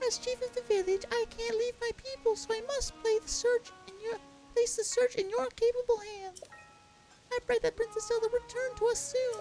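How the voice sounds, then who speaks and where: Squeaky and extremely high-pitched, a man performs a put-on character voice at a moderate pace. Clear music plays behind him. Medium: machinima. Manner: earnest, solemn.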